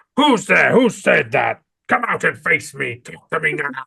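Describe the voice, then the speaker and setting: A growling, put-on character voice at a middle pitch. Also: moderate pace. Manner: growling, angry, demanding.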